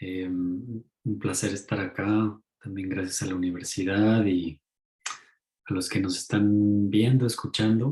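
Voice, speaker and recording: Over music in the background, a man speaks very slowly in a fairly low voice with fairly even intonation. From Mexico. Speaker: author and ecopsychology teacher. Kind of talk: talk in an online lecture series.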